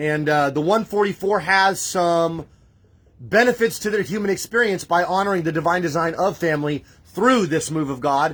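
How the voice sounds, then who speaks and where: Loud and animated, a man with a high voice and ordinary pitch variation comes through a very clean recording with a silent background. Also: moderate pace. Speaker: spiritual livestream host. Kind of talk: livestream preaching. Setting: live stream from home. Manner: emotional, animated.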